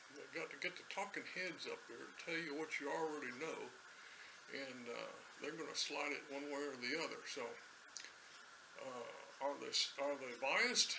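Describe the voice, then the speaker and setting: A man speaks with an American accent at a moderate pace. He leaves long, frequent pauses over noticeable background noise. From United States. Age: 70s. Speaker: political commentator. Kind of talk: casual ad-lib commentary to camera. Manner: hesitant, unscripted. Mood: wry, joking. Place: home room.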